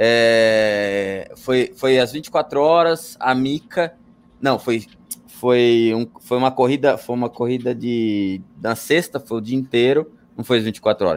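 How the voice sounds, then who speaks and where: Very slow speech from a man, his pitch varying in an ordinary way. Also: medium pitch for a man. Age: 40s. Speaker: motorsport commentator. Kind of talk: casual chat. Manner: loud.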